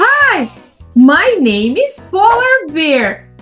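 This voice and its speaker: A put-on character voice at an extremely high pitch lurches through very wide pitch swings, with faint music in the background. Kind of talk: children's educational promo.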